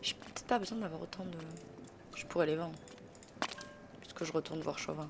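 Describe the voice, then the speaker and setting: A woman with a southern French accent talks at a fairly quick pace and fairly low pitch with ordinary pitch variation, leaving long, frequent pauses over noticeable background noise. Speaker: gaming streamer. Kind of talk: let's play commentary. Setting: live stream. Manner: casual, chatty.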